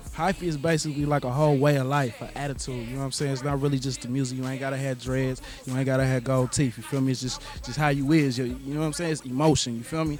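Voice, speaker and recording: A man talks at a very fast pace in a flat monotone. Noticeable background noise runs underneath. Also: medium pitch for a man. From Oakland, California. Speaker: rapper and producer. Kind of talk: interview.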